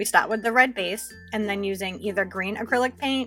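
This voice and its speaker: Music in the background beneath a woman speaking at a fairly quick pace with fairly even intonation. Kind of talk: nail art tutorial voice-over. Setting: home recording, new microphone.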